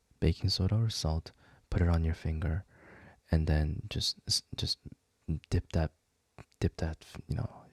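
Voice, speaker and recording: Soft-spoken and somewhat breathy, a man with a very deep, low voice talks at a moderate pace with fairly even intonation and long, frequent pauses, the sound dry and close with no echo. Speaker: video creator. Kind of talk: casual chat. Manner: halting.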